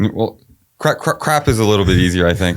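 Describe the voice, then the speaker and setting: A man mumbles with an American accent on a very clean recording with a silent background. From Brooklyn, New York. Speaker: city council candidate. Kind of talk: casual interview. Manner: slight mumble; halting, many fillers.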